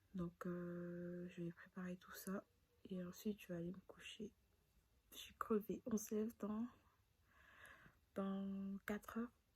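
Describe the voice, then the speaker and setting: Soft-spoken and somewhat breathy, a woman talks at a very slow pace in a dark, mellow tone, medium in pitch with fairly even intonation. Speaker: vlogger. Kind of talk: casual vlog narration. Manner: hesitant, many fillers.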